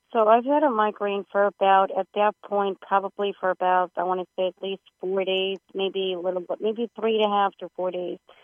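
A woman with an ordinary speaking voice talks at a moderate pace, using a medium pitch and fairly even intonation. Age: late 30s. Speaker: psychic medium. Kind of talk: casual chat. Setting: phone call.

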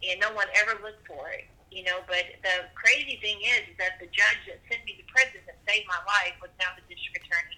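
Noticeable background noise sits under a woman with an American accent who speaks at a medium pitch and a fairly quick pace, hardly pausing, with ordinary pitch variation and big swings in loudness. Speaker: guest, abuse survivor and advocate. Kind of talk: testimony, personal story.

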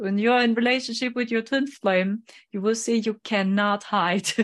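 A voice with a German accent is heard over a quiet background. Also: woman. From Germany. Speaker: psychic medium. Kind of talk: interview.

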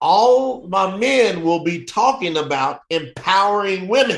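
A man with a Southern US accent speaks in a high voice for a man. His pitch swings very widely, and his tone is animated. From Kentucky, US South. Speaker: entrepreneur and author. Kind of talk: interview.

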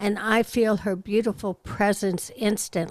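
A woman speaks fairly slowly in a plain, everyday voice at medium pitch. The recording is very clean, silent in the background, and dry and close with no echo. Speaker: advice columnist. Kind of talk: reading aloud.

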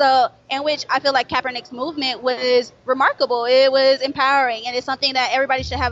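With an American accent, a woman talks fairly quickly in a high, monotone voice with flat intonation. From Florida. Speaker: show guest. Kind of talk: casual discussion.

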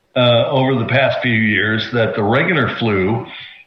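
A man's pitch varies in an ordinary way while music plays in the background. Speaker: retired naval aviator. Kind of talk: radio talk show.

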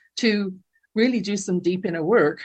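Here a woman speaks with an English accent at a moderate pace. Her pitch varies in an ordinary way. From England. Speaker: life coach. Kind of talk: interview testimony.

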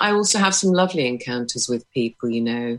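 Speech moves along at a moderate speed. Its pitch jumps up and down over a very wide range. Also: woman. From England. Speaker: artist. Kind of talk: casual discussion.

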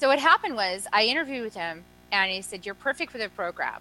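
A woman's medium-pitched voice at a very fast pace, animated in tone with lively intonation. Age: 40s. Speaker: energy medicine practitioner and author. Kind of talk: interview.

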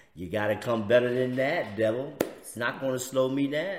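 There is audible room echo around a man's voice. He speaks at medium pitch in an American accent. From US inner city. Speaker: preacher and podcast host. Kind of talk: inspirational religious talk show.

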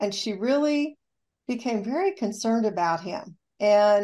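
A woman's fairly high voice with a dark, mellow tone, in an American accent, at a moderate pace with ordinary pitch variation, on a very clean recording with a silent background. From US Midwest, rural southeast Kansas. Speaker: rehabilitation counselor and author. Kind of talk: radio interview.

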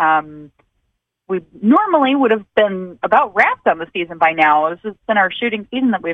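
A woman speaks with a Michigan accent at a fairly quick pace. Her intonation is lively. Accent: Midwestern American (Michigan). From Michigan, outside Detroit. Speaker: TV music show host. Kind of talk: interview.

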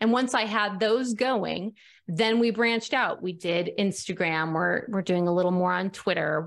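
With a Midwestern American accent, a woman speaks at a medium pitch and a moderate pace. Her pitch varies in an ordinary way, and the recording is very clean with a silent background. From US Midwest, central Nebraska. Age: 40s. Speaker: online publisher and author. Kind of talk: interview.

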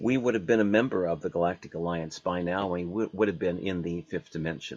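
Against a quiet background, a man with an unremarkable speaking voice talks at a fairly quick pace and a fairly low pitch. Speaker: radio host. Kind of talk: radio show interview.

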